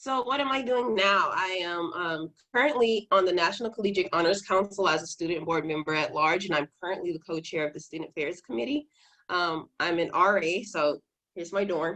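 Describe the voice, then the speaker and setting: Speaking at a fairly quick pace, a woman with a fairly low pitch uses lively intonation. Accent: American. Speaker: university student scholarship recipient. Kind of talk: presentation. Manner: fast; many filler words.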